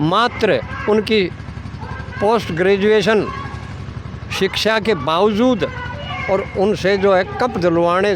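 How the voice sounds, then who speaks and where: There is noticeable background noise behind this man. His intonation stays fairly even. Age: 70s. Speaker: community activist. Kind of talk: interview.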